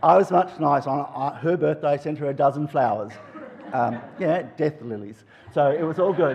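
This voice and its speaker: Ordinary pitch variation marks this voice with an Australian accent, heard over noticeable background noise. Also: man, fairly high pitch for a man. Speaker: politician. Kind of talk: conference talk. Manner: fast.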